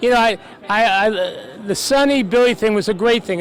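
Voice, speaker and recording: Noticeable background noise behind a man's fairly quick speech, ordinary in pitch variation. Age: 60s. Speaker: TV sports interviewer. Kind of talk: casual interview. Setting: bar at charity poker event.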